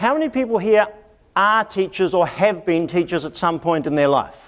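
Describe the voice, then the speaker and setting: A man talks at a fairly quick pace in a New Zealand accent. His voice is high, with lively intonation. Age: 50s. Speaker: education consultant. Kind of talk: conference talk. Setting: stage with audience.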